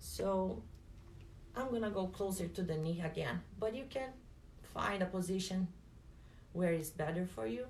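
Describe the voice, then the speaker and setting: A woman with a non-native accent speaks at medium pitch with lively intonation and long, frequent pauses, in a space with audible room echo. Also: moderate pace. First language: not English. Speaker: personal trainer and fitness instructor. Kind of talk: guided exercise class.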